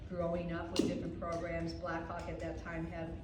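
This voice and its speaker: A woman's fairly quick speech, with noticeable background noise and audible room echo. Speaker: mentor mom panelist. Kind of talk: testimony. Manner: loud; halting.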